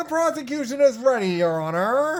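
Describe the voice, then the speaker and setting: Over music in the background, a man performs a put-on character voice at a moderate pace. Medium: game stream. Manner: gloating.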